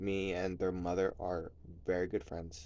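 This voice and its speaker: Soft-spoken and somewhat breathy, a man with a very deep, low pitch talks at a moderate pace. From New Jersey, US. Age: 30s. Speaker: vlogger. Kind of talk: personal vlog confession. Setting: at home at night, kids asleep nearby. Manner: soft-spoken, talking low; casual, filler-heavy.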